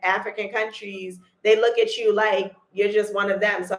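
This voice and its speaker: The woman speaks at a medium pitch. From United States. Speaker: vlogger. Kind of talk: casual chat. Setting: livestream.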